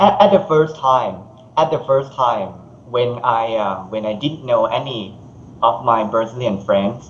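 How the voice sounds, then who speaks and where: With a Thai accent, a man speaks at medium pitch. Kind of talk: casual video call conversation. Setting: internet call.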